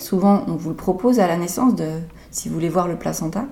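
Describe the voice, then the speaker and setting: With ordinary pitch variation and a fairly quick pace, a woman speaks in an unremarkable speaking voice. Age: 30s. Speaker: midwife. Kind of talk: interview, expert advice.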